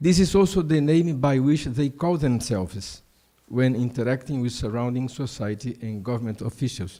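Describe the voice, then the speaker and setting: A dark, mellow tone with lively intonation comes through in a non-native accent. The recording is very clean, with a silent background. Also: man, medium pitch for a man, moderate pace. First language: Portuguese. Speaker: prosecutor and law professor. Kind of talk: conference talk. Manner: halting, many fillers.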